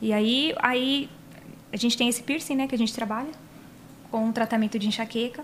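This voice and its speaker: At a fairly quick pace but with long, frequent pauses, a woman speaks in a high pitch over noticeable background noise. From Paraná, Brazil. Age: 30s. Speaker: body piercer and physiotherapist. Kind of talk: casual chat. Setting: studio.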